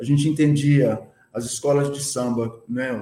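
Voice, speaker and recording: A dark, mellow tone at a very slow pace, with fairly even intonation. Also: man. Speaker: community culture activist. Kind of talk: casual chat. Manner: slangy and talkative.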